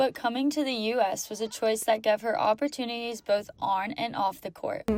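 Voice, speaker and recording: This woman has a normal speaking voice, fairly high in pitch, moving at a moderate pace with ordinary pitch variation. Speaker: reporter. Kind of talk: TV news package narration.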